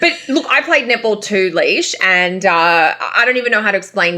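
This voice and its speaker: A woman speaks with an Australian accent. Her pace is fairly quick and her intonation lively. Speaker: astrologer. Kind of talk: casual chat.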